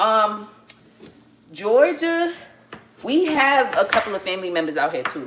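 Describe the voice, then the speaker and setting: There is noticeable background noise as a woman speaks with a New York accent. Her intonation is lively. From New York City, the Bronx. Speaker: family livestreamer. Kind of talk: casual livestream chat. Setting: at home, cooking. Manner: casual, chatty.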